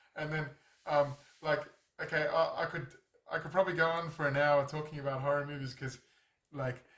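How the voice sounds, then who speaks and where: Delivered in a monotone, flat intonation, the speech runs at a fairly quick pace but has long, frequent pauses. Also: man, fairly high pitch for a man. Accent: Australian. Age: 30s. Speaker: YouTuber. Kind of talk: casual monologue. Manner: halting.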